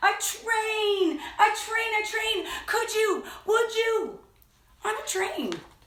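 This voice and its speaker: A woman puts on a squeaky character voice at an extremely high pitch. She talks very slowly, with a slight echo. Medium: read story. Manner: insistent, wheedling.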